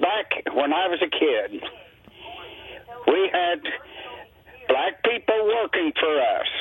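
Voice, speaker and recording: Amid noticeable background noise, a man speaks at a very slow pace with long, frequent pauses. His pitch is high and swings very widely. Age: 80s+. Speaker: caller. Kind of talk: call-in comment. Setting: phone call.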